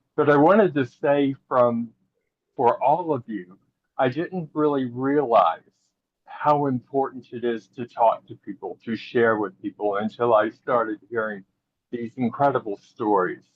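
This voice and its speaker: With ordinary pitch variation and a fairly slow pace, this is an unremarkable speaking voice. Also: man, medium pitch for a man. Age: 60s. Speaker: panel attendee. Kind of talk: online panel discussion.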